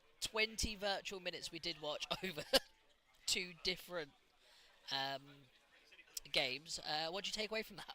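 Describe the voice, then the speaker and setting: Loud and bright with a sharp tone, this man's high-pitched voice moves at a moderate pace with ordinary pitch variation and long, frequent pauses. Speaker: esports commentator. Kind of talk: live esports commentary banter.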